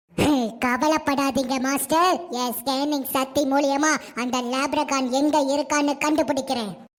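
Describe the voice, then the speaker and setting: A robotic, cartoonish character voice sounds female and sits at a high pitch. It moves at a fairly slow pace. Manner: robotic mode announcements, gloating laughs.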